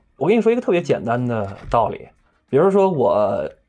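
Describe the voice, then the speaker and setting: A man speaks fairly quickly while music runs in the background. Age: 30s. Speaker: actor and host. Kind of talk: casual chat. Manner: animated.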